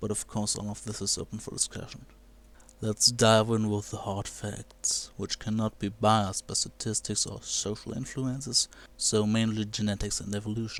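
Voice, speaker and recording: A man speaks with a non-native accent at a fairly low pitch. His intonation is monotone and flat. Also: moderate pace. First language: not English. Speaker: video blogger. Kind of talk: video commentary.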